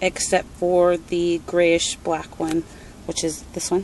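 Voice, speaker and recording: A woman at a very slow pace, in a dry sound with no echo and light background noise. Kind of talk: casual vlog chat. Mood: happy, tender. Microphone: phone near.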